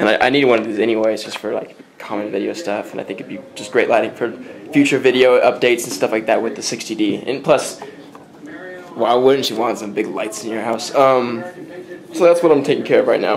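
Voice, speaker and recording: A man mumbles at a fairly quick pace and medium pitch with ordinary pitch variation, his loudness swinging widely over noticeable background noise. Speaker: vlogger and music producer. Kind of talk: casual vlog chat. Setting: at home. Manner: mumbling; halting, many fillers.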